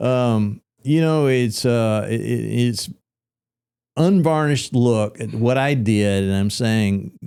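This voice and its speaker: Speaking very slowly, a man with a Tennessee accent has a dark, mellow tone. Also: medium pitch for a man, ordinary pitch variation. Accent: Southern US (Tennessee). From Middle Tennessee. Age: 60s. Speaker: real estate brokerage founder. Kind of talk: podcast interview. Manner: casual, conversational.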